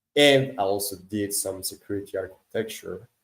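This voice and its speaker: A man with a Quebec accent at a fairly slow pace. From Quebec, Canada (Montreal). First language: French. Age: 30s. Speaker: crypto startup CEO. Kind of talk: interview. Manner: halting, many fillers.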